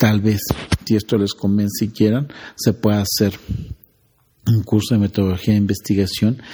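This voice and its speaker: A man speaks in a dark, mellow tone at a fairly low pitch. His pace is moderate and his intonation is monotone and flat. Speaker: emergency physician and researcher. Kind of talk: interview.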